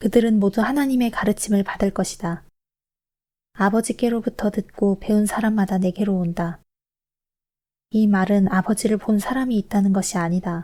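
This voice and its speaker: Woman of medium pitch, somewhat breathy and dark, mellow in tone, at a moderate pace with long, frequent pauses, fairly even intonation and very even loudness, on a very clean recording with a silent background. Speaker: scripture reader. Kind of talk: calm Bible reading. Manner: shifting pitch.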